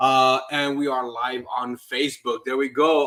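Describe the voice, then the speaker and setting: Moving at a moderate pace, a man talks with a fairly high pitch. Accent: American. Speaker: realtor and podcast host. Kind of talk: live-streamed podcast conversation. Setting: live stream video call. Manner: casual, stumbling over words.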